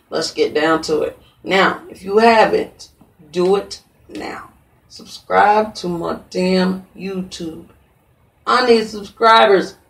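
Speaking with an American accent at a very slow pace, a woman's voice shows big swings in loudness. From US Midwest, St. Joseph, Missouri. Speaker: podcast host. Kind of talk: casual chat. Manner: animated.

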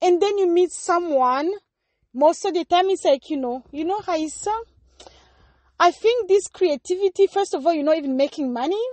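A woman with an extremely high pitch speaks at a moderate pace with ordinary pitch variation. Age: 30s. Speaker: podcast host. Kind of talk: casual chat.

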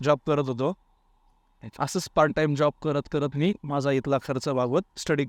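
In a very clean recording with a silent background and a dry, close sound with no echo, a man with a fairly high pitch and an unremarkable speaking voice talks with fairly even intonation. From Maharashtra, Baramati area, Pune district. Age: 30s. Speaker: competitive exam aspirant. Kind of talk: interview.

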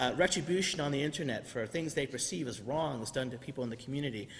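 Talking at a very fast pace, a man shows ordinary pitch variation. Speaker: preacher. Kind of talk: sermon. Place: church. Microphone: podium.

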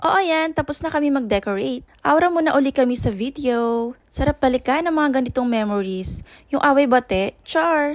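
A woman with a high-pitched voice speaks at a moderate pace in a playful, animated tone, with ordinary pitch variation. The recording is very clean and dry, close with no echo, over a silent background. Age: 30s. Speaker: travel vlogger. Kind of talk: vlog narration.

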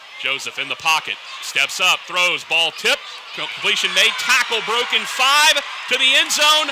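A man's extremely high pitch with very wide pitch swings, a fairly slow pace, very even loudness and noticeable background noise. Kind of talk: football play-by-play commentary. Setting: stadium broadcast.

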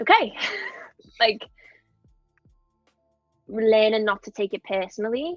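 With a Liverpool accent and a fairly high pitch, a woman talks at a fairly slow pace with long, frequent pauses, her sound dry with no echo and faint music in the background. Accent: Scouse. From Liverpool, England. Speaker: actress. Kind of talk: interview answer. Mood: reflective, candid. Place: home room. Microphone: earbuds.

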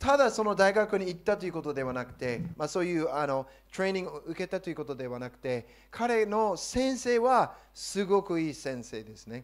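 A man speaks in a high voice with an English accent, at a fairly quick pace against a quiet background. His tone is animated, with very wide pitch swings and big swings in loudness. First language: English (speaking Japanese). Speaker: pastor. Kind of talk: sermon. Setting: church. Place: church. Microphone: handheld.

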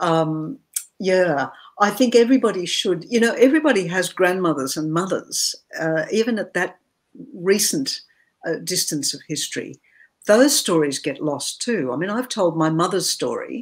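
With an Australian accent, a woman lets her pitch make very wide swings. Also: moderate pace, quiet background. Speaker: novelist; interviewee. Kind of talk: interview. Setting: video call. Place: home room.

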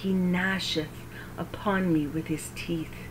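Over noticeable background noise, a woman speaks very slowly with a fairly low pitch and fairly even intonation. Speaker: Bible reader and prayer leader. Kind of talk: devotional scripture reading in KJV with opening and closing prayers. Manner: earnest, reverent, slightly halting, stumbles and self-corrects; warm, gently paced, prayerful.

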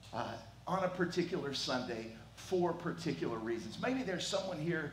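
With audible room echo and light background noise, a man is talking. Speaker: pastor. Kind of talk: sermon welcome and prayer. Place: church. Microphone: headset.

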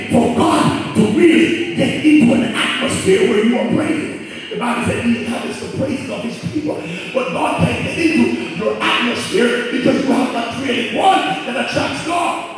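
At a moderate pace, a man speaks in an extremely high voice, with strong room echo and light background noise. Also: ordinary pitch variation. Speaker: preacher. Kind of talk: sermon. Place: church.

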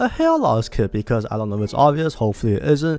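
There is music in the background. A man is speaking. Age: young. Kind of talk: casual talk to camera.

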